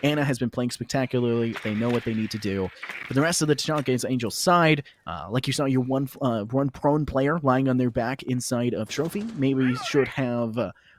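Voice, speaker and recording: With an American accent, a man speaks at a moderate pace and medium pitch with ordinary pitch variation over noticeable background noise. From US South. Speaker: esports caster. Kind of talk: live commentary. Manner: animated.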